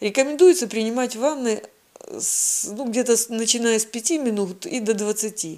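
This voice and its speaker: With lively intonation and a fairly high pitch, the woman speaks fairly slowly as noticeable background noise carries on. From southern Russia, Krasnodar Krai. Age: 60s. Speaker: patient sharing health story. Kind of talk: personal testimony.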